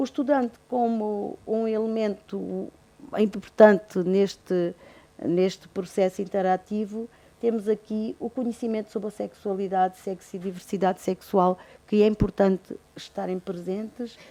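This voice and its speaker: With a dark, mellow tone, the voice moves at a fairly slow pace and keeps a fairly even intonation. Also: woman, medium pitch for a woman. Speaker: university nursing professor. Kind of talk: conference presentation. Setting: auditorium with audience. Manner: trails off, voice drops in volume.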